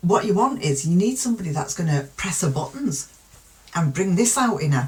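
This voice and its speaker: Noticeable background noise accompanies speech at a moderate pace with very wide pitch swings. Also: woman. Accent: British. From UK. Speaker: true crime youtuber. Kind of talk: casual commentary.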